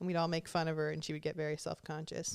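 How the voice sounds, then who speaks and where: This is a woman speaking with an American accent. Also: very clean recording, silent background. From Southern California, Orange County. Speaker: podcast host. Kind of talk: casual chat.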